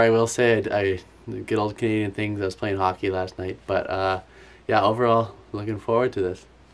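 The voice belongs to a man. It sits fairly low. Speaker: athlete vlogger. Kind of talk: casual vlog chat. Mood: upbeat, excited. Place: home room.

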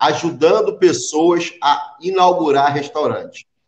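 Audible room echo surrounds a man's fairly high-pitched voice, with a quiet background. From Brazil. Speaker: YouTube channel host interviewing immigrants. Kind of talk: interview. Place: home room. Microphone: webcam.

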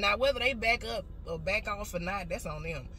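With clear background noise and audible room echo, a woman speaks with lively intonation.

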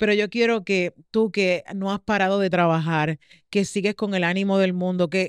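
A woman with a Puerto Rican accent speaks in a monotone with flat intonation, the sound dry with no echo over a quiet background. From Puerto Rico. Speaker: podcast host. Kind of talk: casual interview chat. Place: studio. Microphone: studio mic.

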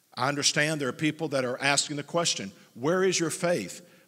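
This man's tone is bright and sharp. He keeps a moderate pace against a quiet background. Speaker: church pastor. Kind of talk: prepared statement to congregation. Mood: earnest, firm. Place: church. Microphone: headset.

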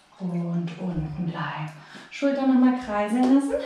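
In a room with audible echo, a woman speaks at a very slow pace with lively intonation. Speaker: fitness instructor. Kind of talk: workout instructions. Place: home room. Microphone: camera far.

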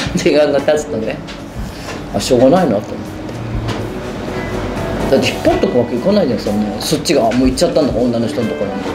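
Talking very fast yet with long, frequent pauses, a woman speaks against noticeable background noise. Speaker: bar owner. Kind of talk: documentary interview answer. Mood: candid, wry storytelling. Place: bar.

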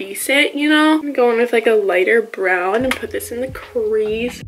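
A woman talks at a moderate pace with a fairly high pitch and a fairly bright tone. Faint noise sits in the background.

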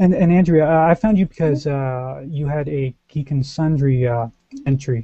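The man's voice sits fairly high, with ordinary pitch variation at a fairly slow pace. The sound is dry with no echo against a quiet background. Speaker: show host. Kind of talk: casual chat. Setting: video call. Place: home room. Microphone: headset.

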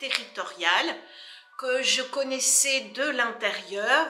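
Audible room echo and faint background music accompany a woman speaking at a high pitch and a very slow pace. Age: 60s. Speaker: politician. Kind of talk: interview answers. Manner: hesitant, frequent fillers. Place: office.

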